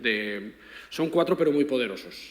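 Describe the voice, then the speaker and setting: Room echo can be heard. Pitch moves up and down in an ordinary way. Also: man. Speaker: philosophy professor. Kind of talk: panel discussion. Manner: fast.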